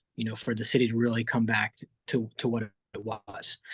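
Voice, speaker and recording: The sound is close and dry, without any echo. A man talks fairly quickly. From grew up in the US (Philadelphia) with Italian summers. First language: Italian. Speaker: restaurant and cafe founder. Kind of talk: radio interview. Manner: conversational, many fillers and repetitions.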